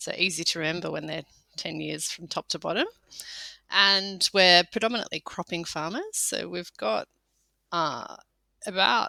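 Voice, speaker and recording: Spoken with an Australian accent and long, frequent pauses, the clip has a dry, close sound with no echo on a very clean recording against a silent background. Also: woman, moderate pace. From Australia, Sydney. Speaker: farmer. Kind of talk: interview.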